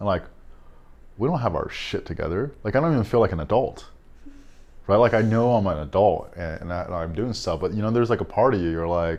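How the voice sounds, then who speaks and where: Lively intonation runs through speech delivered at a very fast pace. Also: man, fairly low pitch for a man. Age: 30s. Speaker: podcast host. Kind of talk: casual chat. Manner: halting, many fillers and repeats.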